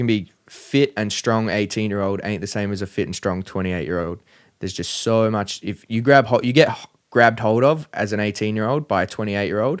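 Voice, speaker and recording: In an Australian accent, a man speaks fairly quickly at a fairly low pitch on a very clean recording with a silent background. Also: ordinary pitch variation. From Australia, country Victoria (Bacchus Marsh). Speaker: professional MMA fighter. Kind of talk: casual chat.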